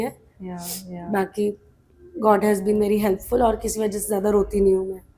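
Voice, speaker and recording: The pace stays moderate. A woman delivers the words at a fairly high pitch. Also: long, frequent pauses, big swings in loudness. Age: 30s. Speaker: actress. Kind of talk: interview answer.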